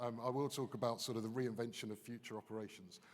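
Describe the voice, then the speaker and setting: A man talks at a fairly quick pace with a British accent. His voice sits at a medium pitch. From United Kingdom. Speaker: business consultant. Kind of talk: conference keynote. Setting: stage with audience.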